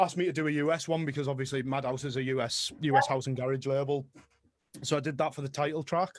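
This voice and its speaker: A man with a strong Middlesbrough accent, fairly high in pitch, with fairly even intonation against a quiet background. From northern England, Middlesbrough. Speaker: music producer and DJ. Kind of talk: interview. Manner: casual.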